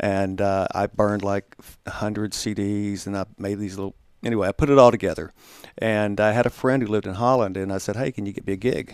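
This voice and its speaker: A man's normal speaking voice, fairly low and fairly even in intonation, at a fairly quick pace, dry and close with no echo, in a very clean recording with a silent background. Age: 60s. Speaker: singer-songwriter. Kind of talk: casual chat. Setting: studio.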